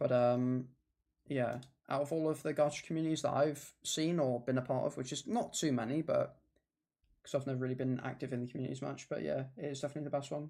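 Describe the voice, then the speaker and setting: A man with an English accent talks at a very fast pace, his pitch fairly high and his tone dark and mellow. His intonation stays fairly even. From England. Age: 20s. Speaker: gaming streamer. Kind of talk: casual chat. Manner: halting.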